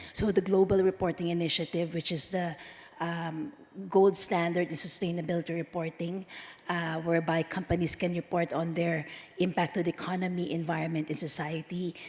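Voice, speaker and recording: This woman's voice sits at a fairly low pitch. Her intonation is monotone and flat. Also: fairly quick pace. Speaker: conference speaker from a standards organization. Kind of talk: conference speech. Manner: halting, many fillers.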